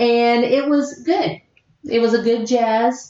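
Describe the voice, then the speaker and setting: With a fairly high pitch and ordinary pitch variation, a woman is speaking. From US South, southern West Virginia. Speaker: podcast host. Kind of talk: casual chat.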